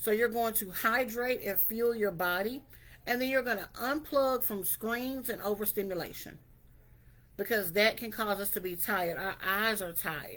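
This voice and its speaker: A woman talks at a moderate pace with a fairly high pitch and ordinary pitch variation. Hers is an unremarkable speaking voice. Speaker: wellness vlogger. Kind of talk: motivational talk to camera. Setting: video to camera.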